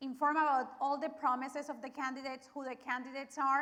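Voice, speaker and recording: A woman with a Spanish accent speaks in a raised, projected voice, high-pitched with a bright, sharp tone, and her intonation stays monotone and flat. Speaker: media representative and forum co-moderator. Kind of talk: event introduction.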